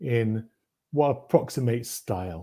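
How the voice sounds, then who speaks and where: A man speaks in a dark, mellow tone that is somewhat breathy, captured on a very clean recording with a silent background. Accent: British. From eastern England, Norfolk. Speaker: game designer. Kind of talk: interview.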